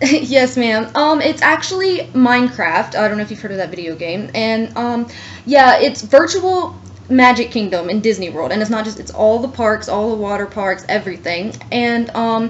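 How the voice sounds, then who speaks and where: A woman speaks at a fairly high pitch with lively intonation. Noticeable background noise can be heard. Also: moderate pace. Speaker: college student applicant. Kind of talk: job interview. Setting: phone call. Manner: hesitant, many fillers.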